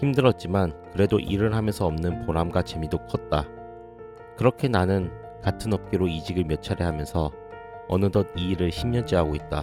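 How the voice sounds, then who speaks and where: With music playing behind him, a man with a very deep, low pitch speaks with lively intonation. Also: moderate pace. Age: 30s. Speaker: broadcast production worker. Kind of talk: personal vlog narration.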